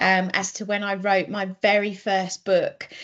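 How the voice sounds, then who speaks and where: A woman speaks at a very slow pace with an English accent. Her pitch is fairly high, over a quiet background. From southeast England, Kent. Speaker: children's author. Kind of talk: casual talk to children online. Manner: hesitant, many ums.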